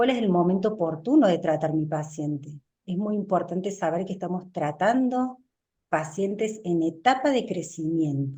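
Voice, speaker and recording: Speaking at a moderate pace, a woman with a fairly low pitch sounds somewhat breathy, with a dark, mellow tone and lively intonation. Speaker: orthodontist lecturer. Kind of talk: lecture. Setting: webinar.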